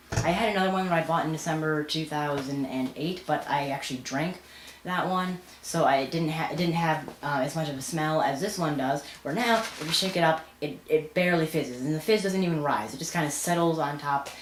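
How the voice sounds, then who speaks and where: Fairly quick speech with ordinary pitch variation, audible room echo and noticeable background noise. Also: woman, very deep, low pitch for a woman. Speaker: vlogger. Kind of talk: casual vlog rant. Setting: home, filming alone at night. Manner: fast; halting.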